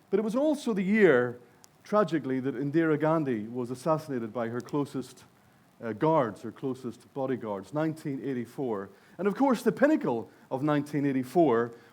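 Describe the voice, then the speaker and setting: Here a man speaks with a Northern Irish accent at a fairly quick pace. His fairly high voice makes very wide pitch swings. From Northern Ireland. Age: 60s. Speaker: conference speaker. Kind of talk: keynote speech. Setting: stage with audience.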